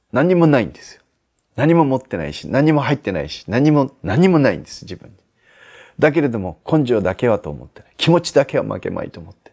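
A man talks at a fairly quick pace with vocal fry against a quiet background. His pitch swings very widely, and his loudness rises and falls sharply. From Aichi, Japan. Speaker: Zen Buddhist priest giving life advice. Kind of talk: advice answer to viewer letter, sermon-like talk. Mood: calm, gentle, reflective. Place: garden. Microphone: lapel.

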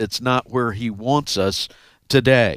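A man speaks at a very slow pace in a medium pitch with ordinary pitch variation. The background is quiet, and the sound is dry with no echo. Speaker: radio Bible teacher. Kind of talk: Bible study teaching. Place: studio. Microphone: headset.

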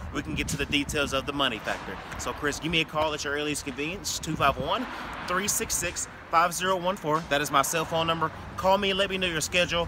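There is noticeable background noise as a man talks at a fairly quick pace, the sound dry with no echo. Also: fairly even intonation. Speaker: car salesman. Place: street. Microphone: phone near.

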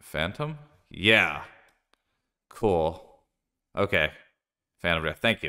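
Someone with an American accent speaks at a very slow pace with long, frequent pauses over a quiet background. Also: man, very deep, low pitch for a man, lively intonation. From US Northeast, Philadelphia. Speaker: game streamer. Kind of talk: live gameplay commentary; casual gameplay commentary. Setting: live stream. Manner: casual, frequent filler words. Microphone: studio mic.

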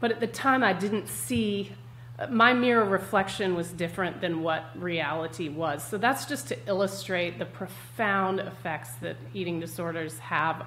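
Fairly slow delivery with very wide pitch swings over light background noise. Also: woman. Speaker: guest health coach. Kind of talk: interview answer. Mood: candid, reflective. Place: home room.

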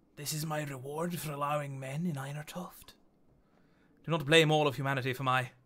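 In a put-on character voice, a man speaks raspy and fairly high-pitched at a fairly quick pace. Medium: game stream. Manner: angry, commanding; bitter, grieving over his dying race.

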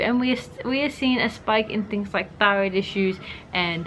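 A woman speaking at a fairly quick pace, with ordinary pitch variation and light background noise. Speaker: health vlogger. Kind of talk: casual vlog chat. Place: home room.

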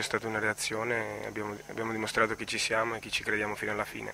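A man at a very fast pace in a monotone, flat intonation, with light background noise and a dry sound with no echo. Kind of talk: interview answer. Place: hall. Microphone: phone near.

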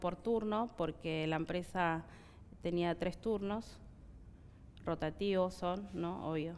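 A woman is speaking. Her intonation stays fairly even. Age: 30s. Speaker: factory worker. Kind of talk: interview. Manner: halting. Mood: sad, earnest. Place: studio. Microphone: headset.

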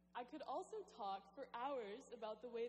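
Light noise behind a female speaker. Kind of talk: commencement speech. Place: hall.

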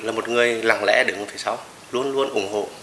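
A man is speaking over light background noise. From Nghe An, Vietnam. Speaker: football club president, former footballer. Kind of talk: interview answer. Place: home room.

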